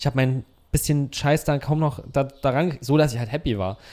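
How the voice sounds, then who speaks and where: With a fairly high pitch and a dark, mellow tone, a man speaks with ordinary pitch variation on a very clean recording with a silent background. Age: 30s. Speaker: cinematographer and gimbal operator. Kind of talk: casual chat. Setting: guest's home.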